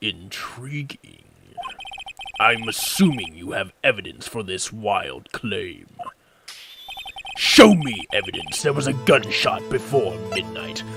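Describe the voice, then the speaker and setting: A man performs a put-on character voice at medium pitch and a fairly slow pace. Long, frequent pauses break his lines, with music in the background. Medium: virtual streamer. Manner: cold, arrogant, clipped.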